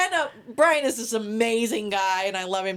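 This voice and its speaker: A woman speaks with an American accent. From Maryland, US (Salisbury). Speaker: military and police spouse. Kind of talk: casual interview chat. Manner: halting, many fillers.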